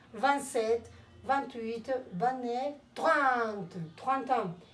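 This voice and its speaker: A woman's fairly high voice with ordinary pitch variation, very slow in pace, with audible room echo. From Colombia, Cali. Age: 50s. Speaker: language teacher. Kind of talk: lesson.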